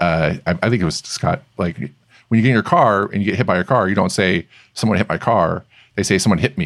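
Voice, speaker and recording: Ordinary pitch variation and a fairly quick pace from a normal speaking voice, on a very clean recording against a silent background. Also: man, fairly low pitch for a man. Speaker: podcast host. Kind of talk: casual interview.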